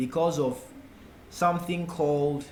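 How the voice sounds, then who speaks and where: A man's fairly high voice in a Ghanaian accent at a very slow pace, with audible room echo. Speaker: forex trading tutor. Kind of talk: tutorial.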